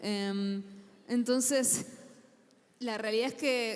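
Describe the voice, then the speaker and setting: Against noticeable background noise, a woman talks at a fairly high pitch with a monotone, flat intonation. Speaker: writer and panelist. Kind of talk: panel talk.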